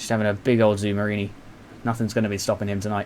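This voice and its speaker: Here is a man speaking. He has a British accent. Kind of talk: live race commentary on a motocross video game. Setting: home recording with a noisy fan. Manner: upbeat, excited, casual, jokey.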